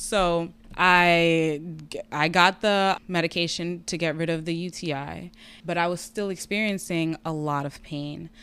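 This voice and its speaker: A woman with an American accent has an ordinary speaking voice, fairly low in pitch with fairly even intonation, speaking at a fairly slow pace on a very clean recording with a silent background. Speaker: patient sharing health story. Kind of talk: personal testimony in casual interview.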